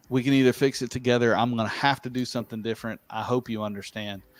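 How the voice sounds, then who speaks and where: A man talks at a medium pitch in a very clean recording with a silent background. The sound is dry and close, with no echo. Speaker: livestream host and tile technical director. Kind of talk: live-streamed casual chat. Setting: livestream. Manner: fast; animated.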